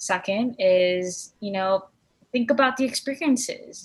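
This woman's voice is somewhat breathy. Her pitch moves with ordinary variation. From Korean heritage. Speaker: podcast co-host. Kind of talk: casual chat.

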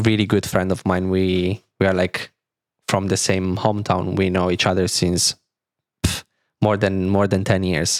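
A man with an Italian accent speaks at a fairly low pitch in a dry, close sound with no echo. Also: very clean recording, silent background. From Italy, near Milan. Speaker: DJ and music producer. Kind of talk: casual interview.

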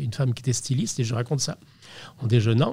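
A man's voice at a medium pitch. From Brittany, France (Brest). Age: 60s. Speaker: portrait photographer. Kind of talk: interview. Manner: halting, repeats words.

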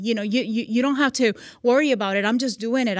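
A woman's fairly high voice with a slight Puerto Rican accent, at a fairly quick pace, on a very clean recording with a silent background. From Puerto Rico. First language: Spanish. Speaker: magazine CEO and military veteran. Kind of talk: casual interview. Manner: warm, laughs often.

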